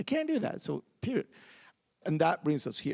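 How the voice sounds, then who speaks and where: A man with a Venezuelan accent is heard in a dry, close sound with no echo. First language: Spanish. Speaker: activist and bereaved father. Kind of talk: live panel talk. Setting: theatre stage with audience. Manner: halting, many repetitions.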